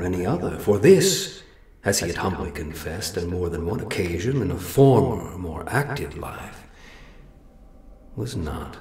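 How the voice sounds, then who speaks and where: There is an audible echo as a man with a very deep, low pitch speaks at a moderate pace with lively intonation. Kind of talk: lyrical gothic prose-poem incantation. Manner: slow, measured, ornate.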